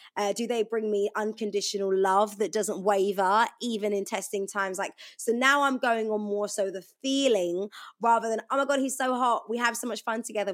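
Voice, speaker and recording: A woman with a plain, everyday voice speaks at a fairly quick pace in a fairly high pitch with fairly even intonation, on a very clean recording with a silent background. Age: 30s. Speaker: radio DJ. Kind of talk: casual chat.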